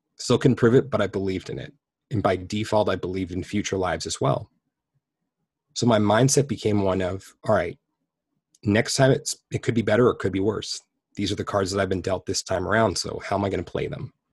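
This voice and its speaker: In a very clean recording with a silent background, a man speaks very fast at a fairly low pitch with ordinary pitch variation, a somewhat breathy voice and long, frequent pauses. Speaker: past life regressionist. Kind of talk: casual interview.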